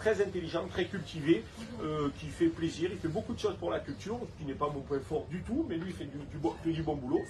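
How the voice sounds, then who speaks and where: Against noticeable background noise, a man with a Provençal accent talks at a fairly quick pace with lively intonation. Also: fairly high pitch for a man. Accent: Provençal Saint-Tropez. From Saint-Tropez, Provence. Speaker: beach club owner and local election candidate. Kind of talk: interview answer. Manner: outspoken, lively.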